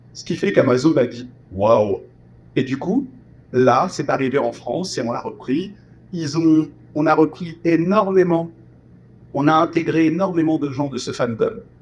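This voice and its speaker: A fairly high male voice with ordinary pitch variation and big swings in loudness. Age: 40s. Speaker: voice actor and musical performer. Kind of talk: interview.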